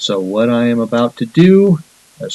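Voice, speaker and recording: Speaking at a very slow pace, a man delivers his words. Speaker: math teacher. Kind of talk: tutorial. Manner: mumbling to himself at times.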